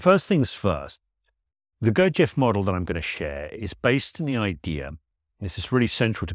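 The recording is dry and close, with no echo. A man with a fairly low pitch speaks with very wide pitch swings. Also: very clean recording, silent background. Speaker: solo podcast host. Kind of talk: solo educational monologue. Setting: podcast recording.

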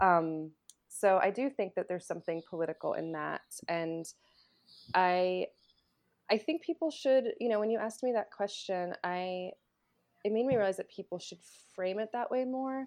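Speaking in an American accent, a woman at medium pitch uses lively intonation with long, frequent pauses. Her pace is moderate against a quiet background. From North Carolina. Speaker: journalist and filmmaker. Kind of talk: interview.

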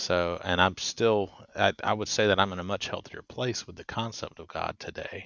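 A man speaks in an unremarkable speaking voice at a moderate pace. His loudness shows big swings. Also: fairly low pitch for a man. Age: 30s. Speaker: podcast host. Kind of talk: interview.

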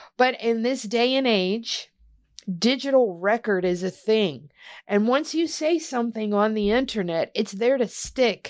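An ordinary speaking voice from a woman, fairly high in pitch, with lively intonation and a fairly slow pace, on a very clean recording with a silent background. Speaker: podcast host. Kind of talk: casual podcast chat about MMA news.

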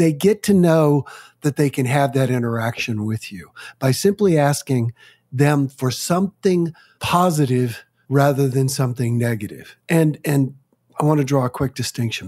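A man with a plain, everyday voice speaks at a moderate pace in a fairly high pitch, with ordinary pitch variation and a dry, close sound that has no echo. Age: 60s. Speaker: author and speaker on complaining. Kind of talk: interview.

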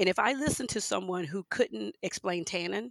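Recorded dry and close with no echo, a woman with an American accent speaks at a fairly low pitch with vocal fry. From Houston, Texas and Louisiana. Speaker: wine writer. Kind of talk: interview.

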